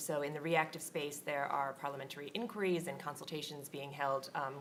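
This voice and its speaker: A woman talks at a fairly quick pace. Room echo can be heard. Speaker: government regulatory policy manager. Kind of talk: conference panel discussion. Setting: conference stage with audience.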